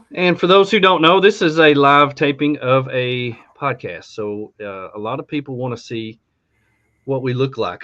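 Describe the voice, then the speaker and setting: A man speaks in a normal speaking voice, pitched fairly high. His loudness swings widely. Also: lively intonation, moderate pace. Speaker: podcast host. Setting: live podcast taping.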